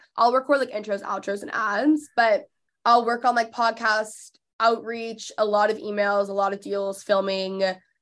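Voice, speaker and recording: A woman with an American accent and a plain, everyday voice, fairly high in pitch with ordinary pitch variation, at a moderate pace against a quiet background. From Texas (McKinney, Dallas area). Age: 20s. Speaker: podcast host and influencer. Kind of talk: casual interview chat.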